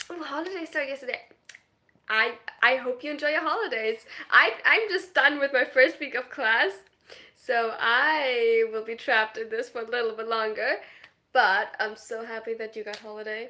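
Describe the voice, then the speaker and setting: At a moderate pace, a woman with a slight German accent speaks in a high, bright, sharp voice with an animated tone, ordinary pitch variation and big swings in loudness. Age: 20s. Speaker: streamer. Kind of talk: live stream chat reading comments. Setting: live stream.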